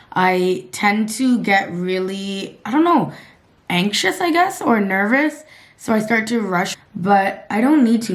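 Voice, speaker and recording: Audible room echo surrounds a woman speaking at a medium pitch. Her intonation is lively, and her pace is fairly slow. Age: 20s. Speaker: vlogger. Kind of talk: casual vlog talk to camera. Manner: casual, filler-heavy.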